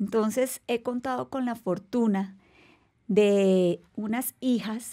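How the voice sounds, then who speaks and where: Against a quiet background, a woman is talking. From Colombia. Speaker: navy rear admiral; podcast guest. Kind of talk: interview. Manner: formal. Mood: warm, composed, reflective. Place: studio. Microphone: studio mic.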